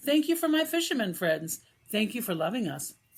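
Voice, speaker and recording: A woman does a put-on character voice at a fairly high pitch. She moves at a fairly quick pace with very wide pitch swings. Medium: read story. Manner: kind.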